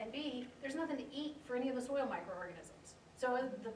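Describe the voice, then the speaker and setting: A woman with an American accent speaks in a fairly high voice. Noticeable background noise and audible room echo accompany her. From US South (South Louisiana). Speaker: horticulture instructor. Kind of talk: lecture.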